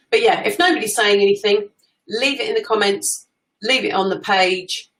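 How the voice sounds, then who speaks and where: This speaker talks loudly at a moderate pace with an English accent. The pitch swings very widely. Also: woman, fairly high pitch for a woman. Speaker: social media coach. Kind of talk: live stream talk. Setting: live stream. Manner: talkative.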